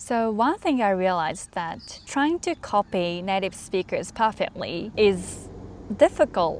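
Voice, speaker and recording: A woman talks at a fairly slow pace in a Japanese accent. Her medium-pitched voice moves through very wide pitch swings. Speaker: English learning vlogger. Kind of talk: casual talk to camera.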